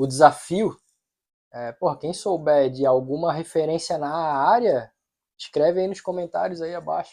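Speaking at a moderate pace over a quiet background, a man with a fairly high, dark and mellow voice shows ordinary pitch variation and big shifts in loudness. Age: 40s. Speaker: podcast host. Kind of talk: casual chat.

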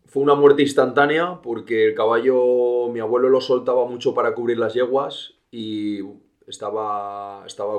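A man talks in a plain, everyday voice at a medium pitch and a moderate pace. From Spain, León province. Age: 30s. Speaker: horse trainer. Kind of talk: interview.

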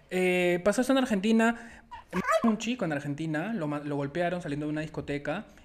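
A man's high voice, with lively intonation, comes at a fairly quick clip through noticeable background noise. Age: 20s. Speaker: podcast host. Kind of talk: casual chat.

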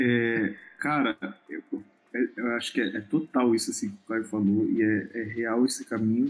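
Noticeable background noise is present. A man talks with long, frequent pauses. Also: medium pitch for a man, ordinary pitch variation, moderate pace. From Rondônia, Brazil. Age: 20s. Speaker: photographer and missionary. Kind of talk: podcast interview.

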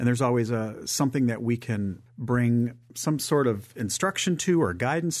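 With a plain, everyday voice, a man in an American accent talks at a moderate pace with medium pitch, ordinary pitch variation and hardly any pauses against a quiet background. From northern Michigan. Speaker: theater executive director. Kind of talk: radio interview.

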